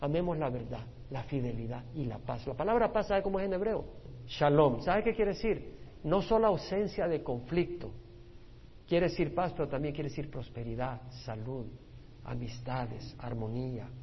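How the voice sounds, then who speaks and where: A man's fairly high, somewhat breathy voice at a moderate pace, with very wide pitch swings and audible room echo. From El Salvador. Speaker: pastor. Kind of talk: Bible study teaching.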